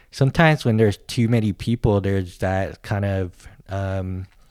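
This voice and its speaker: A man with an American accent uses a normal speaking voice, fairly low in pitch, at a fairly slow pace. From US West Coast, San Francisco. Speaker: podcast guest. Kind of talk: casual chat.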